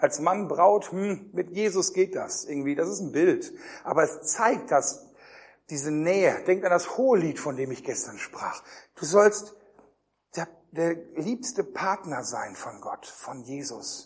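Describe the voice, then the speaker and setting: Speaking very slowly, a high-pitched man uses lively intonation and big swings in loudness. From Germany. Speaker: youth pastor / preacher. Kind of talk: sermon. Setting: youth camp with live audience. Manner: animated.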